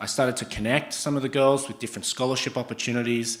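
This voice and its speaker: A man's monotone, flat delivery at medium pitch, with an Australian accent. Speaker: startup founder and CEO. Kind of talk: startup pitch presentation. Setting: stage with audience.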